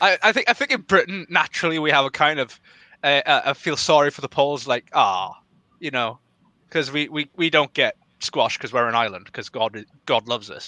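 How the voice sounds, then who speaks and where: Speaking with a Welsh accent, a man uses lively intonation and a bright, sharp tone at a fairly high pitch, moving at a fairly quick pace in a dry, close recording with no echo and a quiet background. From Wales. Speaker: political podcast guest. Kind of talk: casual chat. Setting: live stream.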